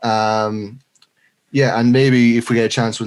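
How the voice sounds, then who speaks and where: With a Leinster accent, a man speaks in a monotone, flat intonation. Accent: Irish (Leinster). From Ireland, Leinster. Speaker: podcast co-host. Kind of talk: casual chat.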